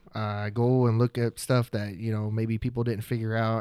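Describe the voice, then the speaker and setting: A man with an American accent and an unremarkable speaking voice talks fairly quickly at a medium pitch in a very clean recording with a silent background. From Oklahoma. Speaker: videographer. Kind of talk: casual chat.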